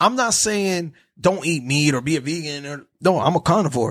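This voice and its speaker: On a very clean recording with a silent background, a man with an American accent speaks at a moderate pace in a normal speaking voice, fairly high-pitched with lively intonation. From New Jersey. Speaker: podcaster. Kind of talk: casual chat.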